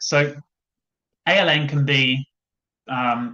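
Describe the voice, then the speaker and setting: The man's voice sits at a medium pitch with a bright, sharp tone. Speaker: education lawyer. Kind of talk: webinar presentation. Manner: fast.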